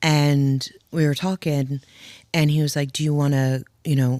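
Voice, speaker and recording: A woman with a New Jersey accent speaks at a fairly slow pace in a very deep, low pitch, recorded very cleanly against a silent background. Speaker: widow sharing her story. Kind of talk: podcast interview.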